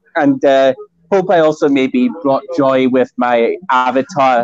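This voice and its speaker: A man with a Scottish accent speaks at a medium pitch, with ordinary pitch variation. The sound is dry and close, with no echo. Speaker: guest on feminism talk show. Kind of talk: casual chat. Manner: halting.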